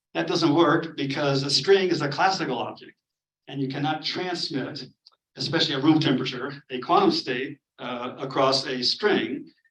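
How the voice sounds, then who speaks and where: This man's fairly high voice shows ordinary pitch variation. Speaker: physics professor. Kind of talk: lecture. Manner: fast; hesitant, many fillers.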